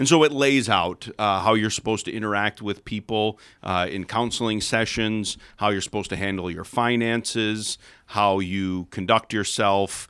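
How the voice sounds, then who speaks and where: Bright and sharp in tone, a man with an American accent speaks at a moderate pace in a fairly low pitch on a very clean recording with a silent background. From Chicago suburbs, US Midwest. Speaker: pastor. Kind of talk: casual chat.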